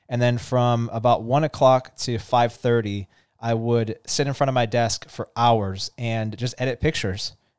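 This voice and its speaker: Recorded very cleanly against a silent background, a man speaks at a medium pitch with a dry, close sound and no echo. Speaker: car podcast host, former car dealership photographer. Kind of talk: casual chat. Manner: fast.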